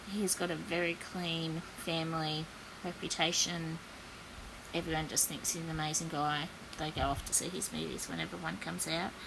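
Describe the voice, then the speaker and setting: A woman's fairly low voice in an Australian accent, monotone and flat, at a moderate pace, with audible room echo and noticeable background noise. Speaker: psychic content creator. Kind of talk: spiritual predictions monologue. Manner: hesitant, many fillers.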